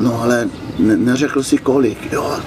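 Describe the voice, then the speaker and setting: Noticeable noise sits behind a man who talks very slowly. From Slovenia. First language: Slovene (speaking Czech). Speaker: motorcycle traveller. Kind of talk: interview. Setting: outdoors at a swimming pool.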